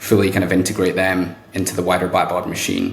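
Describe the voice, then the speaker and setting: With a British accent and a fairly low pitch, a man speaks at a fairly quick pace against audible room echo and noticeable background noise. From UK. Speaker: sales executive. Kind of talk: podcast interview.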